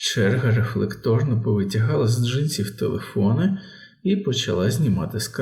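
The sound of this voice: This is an unforced reading voice. It is the only trait described here.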